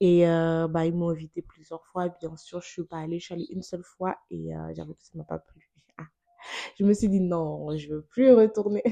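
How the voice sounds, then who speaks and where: A woman with an unremarkable speaking voice talks at a moderate pace with fairly even intonation and big swings in loudness. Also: fairly low pitch for a woman. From Benin. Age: 20s. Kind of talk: testimony.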